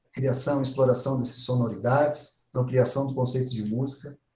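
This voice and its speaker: Somewhat breathy and dark, mellow in tone, a man's medium-pitched voice moves at a moderate pace. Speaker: music education professor. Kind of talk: online workshop lecture. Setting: online live stream.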